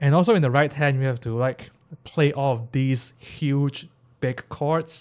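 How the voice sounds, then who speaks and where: This man has a fairly high pitch and speaks with a non-native accent. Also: fairly slow pace. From Hong Kong. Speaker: classical pianist and anime piano streamer. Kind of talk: live stream reaction and tutorial. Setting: live stream. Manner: casual, many fillers and repetitions.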